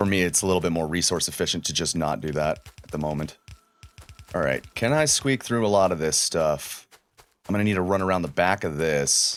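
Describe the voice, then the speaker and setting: A man with a very deep, low pitch, ordinary pitch variation and a fairly quick pace. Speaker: gaming YouTuber. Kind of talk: let's play commentary. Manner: loud; casual, filler-heavy.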